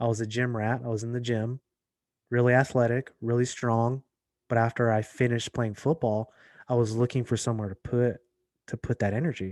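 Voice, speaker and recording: Fairly quick speech comes in an American accent with monotone, flat intonation. The very clean recording has a silent background and a dry, close sound with no echo. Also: man, medium pitch for a man. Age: 40s. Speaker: actor and MMA journalist. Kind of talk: casual podcast interview.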